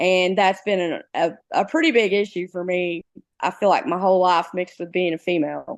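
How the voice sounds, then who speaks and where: A woman of medium pitch with a strong Southeast Missouri accent, ordinary pitch variation and a moderate pace, against a quiet background. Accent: heavy Southeast Missouri Bootheel. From Southeast Missouri, Bootheel (Clarkton). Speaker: high school English teacher. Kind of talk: interview.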